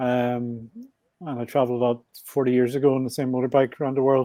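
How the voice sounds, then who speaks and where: A man talks fairly quickly at a medium pitch. He has a strong Belfast accent. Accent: Belfast Northern Irish, thick. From Northern Ireland, Belfast. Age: 60s. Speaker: podcast guest, motorbike traveler. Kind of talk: podcast interview.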